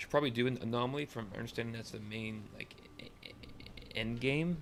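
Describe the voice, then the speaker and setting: A man speaks at a fairly quick pace in a medium pitch, with ordinary pitch variation, big swings in loudness and noticeable background noise. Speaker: video game streamer. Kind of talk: casual gameplay commentary. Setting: live stream. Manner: stuttering, repeats words.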